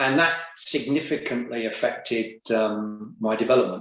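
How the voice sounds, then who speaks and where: A man in a South Coast English accent speaks at medium pitch with ordinary pitch variation. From southern England, Brighton and Hove. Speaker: business group chair. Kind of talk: interview.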